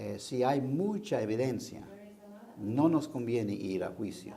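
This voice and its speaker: A man with an English accent and lively intonation, at a very slow pace, with audible room echo. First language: English (speaking Spanish). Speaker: defense lawyer. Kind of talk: interview. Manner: halting.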